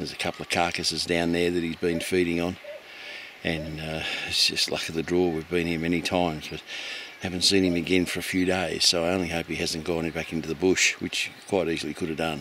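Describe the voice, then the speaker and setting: A man with a very deep, low pitch talks at a fairly quick pace in a monotone, flat intonation, with a dry sound with no echo and light background noise. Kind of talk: casual vlog chat. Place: open country. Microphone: phone near.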